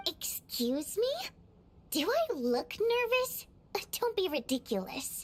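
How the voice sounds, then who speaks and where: A woman uses a put-on character voice, extremely high in pitch with very wide pitch swings. She speaks at a fairly slow pace with long, frequent pauses. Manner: defensive, flustered.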